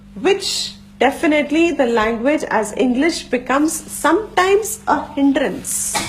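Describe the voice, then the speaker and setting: A woman talks at a fairly slow pace with hardly any pauses, her high voice full of lively intonation. Noticeable background noise and audible room echo are present. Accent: Gujarati. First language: Gujarati. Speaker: Vedanta teacher. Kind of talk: lecture.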